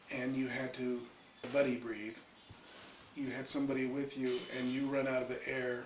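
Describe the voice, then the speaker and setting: Against noticeable background noise and audible room echo, a man speaks in a flat monotone at medium pitch and a moderate pace. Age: 60s. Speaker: retired military firefighter. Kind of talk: interview storytelling. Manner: casual, with fillers.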